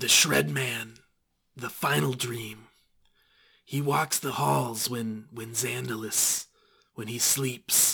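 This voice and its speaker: A man's raspy, put-on character voice at a medium pitch, with a very slow pace and long, frequent pauses. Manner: cryptic, furtive, speaks of himself in third person.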